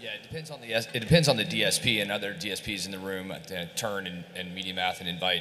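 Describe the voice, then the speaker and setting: A man's very deep, low voice with an American accent, very fast, ordinary pitch variation, big swings in loudness, audible room echo and noticeable background noise. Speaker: ad tech executive. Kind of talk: conference panel discussion. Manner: halting, many fillers and repeats.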